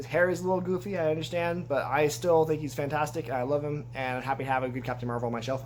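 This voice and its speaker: A man talks at a fairly quick pace. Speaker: toy collector YouTuber. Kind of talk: casual video review. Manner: fast; halting.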